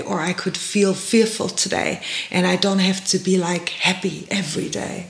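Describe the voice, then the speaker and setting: Speaking at a fairly slow pace with a medium pitch, a woman is heard over noticeable background noise. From Germany. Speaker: podcast host. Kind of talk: interview.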